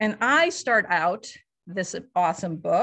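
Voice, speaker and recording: A woman with a bright, sharp tone speaks at a fairly slow pace over a quiet background. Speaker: event host. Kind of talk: event hosting speech. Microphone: video call.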